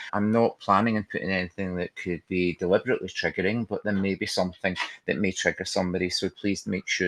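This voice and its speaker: A man with a Glaswegian accent, very deep and low in pitch, fairly even in intonation, at a fairly quick pace, in a dry, close sound with no echo against a quiet background. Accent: Glaswegian Scottish. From Scotland, Glasgow. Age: 60s. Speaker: trainer and counsellor. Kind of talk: webinar presentation.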